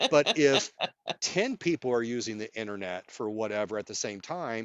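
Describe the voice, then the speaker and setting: At a moderate pace, a man speaks in an unremarkable speaking voice, keeping a medium pitch that varies in an ordinary way. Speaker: nurse and clinical researcher. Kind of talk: interview answer.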